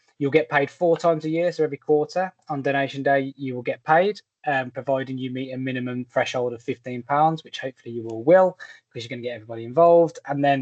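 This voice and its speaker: The speech comes at a very fast pace. It is in a Birmingham accent. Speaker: fundraising platform partnership rep. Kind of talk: online presentation. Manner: many filler words, hesitant.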